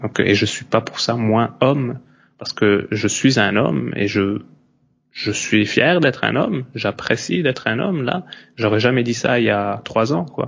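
This is a man with an ordinary speaking voice at a medium pitch, showing ordinary pitch variation. He speaks at a fairly slow pace. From Belgium / Italy. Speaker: yoga and breathwork teacher. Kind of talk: casual conversation.

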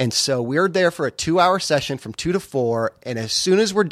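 With lively intonation and a moderate pace, a man talks in a plain, everyday voice. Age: 30s. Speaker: podcast co-host and dad. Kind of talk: casual chat. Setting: garage.

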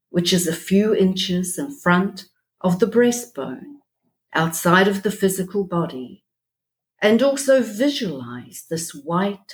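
In a New Zealand accent, a woman speaks very slowly at a medium pitch, somewhat breathy and with lively intonation. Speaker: spiritual group leader. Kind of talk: guided prayer. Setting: remote call.

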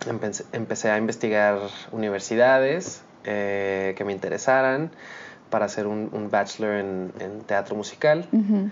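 A man at a fairly slow pace with lively intonation. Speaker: musical theatre actor. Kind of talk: casual interview. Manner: animated.

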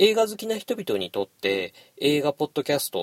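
A man at a moderate pace, on a very clean recording with a silent background and a dry, close sound with no echo. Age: 40s. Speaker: film podcast host. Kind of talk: solo podcast monologue.

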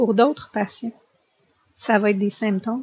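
A woman with fairly even intonation. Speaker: family doctor and patient partner. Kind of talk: testimony and expert discussion.

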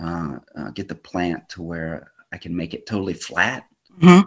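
Here a man speaks with an American accent. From US South, Birmingham, Alabama. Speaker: photographer and artist. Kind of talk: interview conversation.

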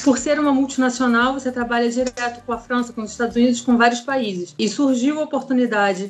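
Fairly quick and fairly high-pitched, a woman speaks with fairly even intonation. Hers is an unremarkable speaking voice. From Rio de Janeiro, Brazil. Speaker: chemical engineer living abroad. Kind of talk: interview.

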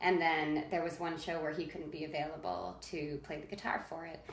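A woman whose voice is very deep and low talks at an average speed, with noise clearly present behind her. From northeastern New Jersey. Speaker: theater maker. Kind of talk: casual chat.

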